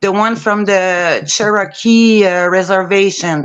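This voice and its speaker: A woman talks at a very slow pace with medium pitch. Her intonation is fairly even. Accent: strong French. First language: French. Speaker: amateur painter. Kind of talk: casual group video chat.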